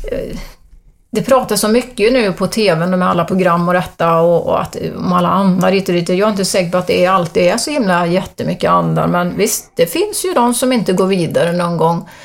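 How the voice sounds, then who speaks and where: A woman at a medium pitch and fairly quick pace, with ordinary pitch variation and noticeable background noise. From Sweden, Arentorp (Västergötland). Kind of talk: interview about spiritual experiences.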